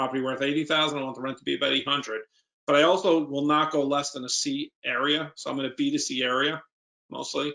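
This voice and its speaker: Very fast speech from a man with a New York accent, fairly high in pitch, bright and sharp in tone, with fairly even intonation. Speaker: real estate investor. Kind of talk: Q&A at a seminar.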